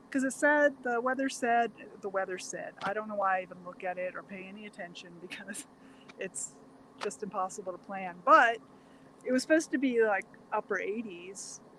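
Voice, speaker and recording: Noticeable background noise runs behind a woman's voice. Her pitch is fairly high, and her loudness swings widely. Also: ordinary pitch variation, moderate pace. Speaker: vegan cooking channel co-host. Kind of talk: casual chat. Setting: outdoors. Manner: soft-spoken.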